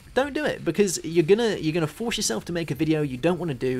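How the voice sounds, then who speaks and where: The speech comes at a very fast pace. It is delivered in a southern English accent. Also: man. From southwest England. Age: 20s. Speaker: gaming YouTuber. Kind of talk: Q&A video commentary. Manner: occasional stutter and filler sounds; fast when engaged.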